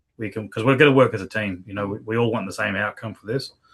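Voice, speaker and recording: A man's fairly low-pitched voice in a strong Australian accent, very fast and fairly even in intonation, over a quiet background. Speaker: business partner. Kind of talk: business video meeting.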